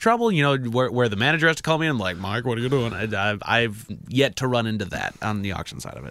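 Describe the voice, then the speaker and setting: A man's medium-pitched voice with a bright, sharp tone and lively intonation, on a very clean recording with a silent background. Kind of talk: casual chat. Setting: studio.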